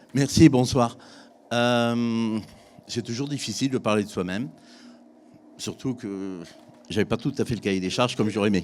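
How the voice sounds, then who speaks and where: At a moderate pace, a man with a medium-pitched voice and ordinary pitch variation talks with long, frequent pauses. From France, Drôme (Valence area). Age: 60s. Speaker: business owner, civil engineering. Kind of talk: testimony.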